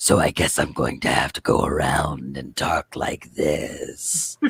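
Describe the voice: Raspy and guttural, this put-on character voice has a very deep, low pitch and moves at a fairly slow pace.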